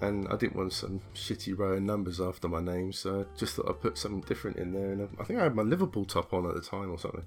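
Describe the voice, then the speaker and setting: A man with a British accent speaks very fast, with hardly any pauses. His intonation stays fairly even. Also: fairly low pitch for a man. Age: 40s. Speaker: gamer. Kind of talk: casual chat.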